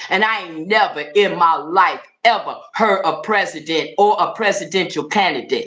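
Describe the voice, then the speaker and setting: Speaking at a fairly slow pace, a woman with an American accent uses a medium pitch. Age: 60s. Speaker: political commentator. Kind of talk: casual livestream chat. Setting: livestream. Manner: animated.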